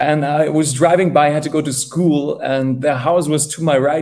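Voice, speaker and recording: In a German accent, a man talks at a fairly slow pace with ordinary pitch variation. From northern Germany. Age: young. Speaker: evangelist. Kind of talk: interview testimony. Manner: halting.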